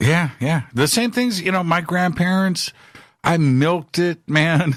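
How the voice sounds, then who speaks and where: Speaking fairly slowly in a high voice with ordinary pitch variation, a man is heard on a very clean recording with a silent background. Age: 50s. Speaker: radio host. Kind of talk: talk radio hosting; casual chat.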